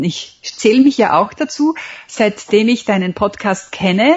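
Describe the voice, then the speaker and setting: Somewhat breathy and fairly high-pitched, a woman speaks at a moderate pace with very wide pitch swings. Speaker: memory champion and author. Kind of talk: interview. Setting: Skype call. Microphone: internet call audio, sounds somewhat different.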